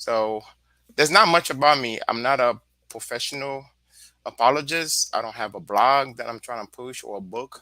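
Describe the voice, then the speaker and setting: A man speaks with a Haitian accent in a bright, sharp tone, his loudness swinging widely. The recording is very clean, with a silent background. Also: medium pitch for a man, ordinary pitch variation, moderate pace. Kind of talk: casual panel discussion.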